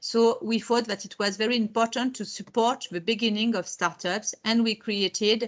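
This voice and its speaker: A woman with a French accent, fairly high-pitched, at a moderate pace. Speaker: technology park and incubator representative. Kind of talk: webinar presentation. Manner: halting, with many repetitions and fillers.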